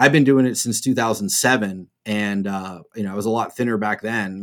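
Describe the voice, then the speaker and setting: Recorded very cleanly against a silent background, a man with an unremarkable speaking voice talks at medium pitch with fairly even intonation. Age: 40s. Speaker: rigging trainer. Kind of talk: casual interview.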